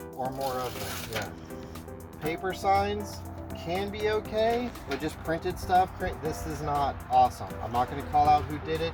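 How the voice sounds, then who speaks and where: Music plays in the background as a medium-pitched man speaks at a fairly slow pace with very wide pitch swings. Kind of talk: casual talk to camera.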